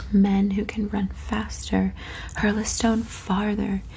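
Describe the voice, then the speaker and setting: Soft-spoken, a woman talks at a very slow pace. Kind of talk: audiobook-style reading of a novel, ASMR. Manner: soft-spoken, relaxing.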